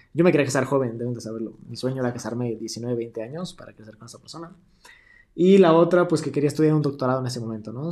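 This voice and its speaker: In a Mexican accent, a man speaks at a medium pitch with a dark, mellow tone and ordinary pitch variation. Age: 20s. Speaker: podcast host. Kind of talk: casual monologue. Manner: animated.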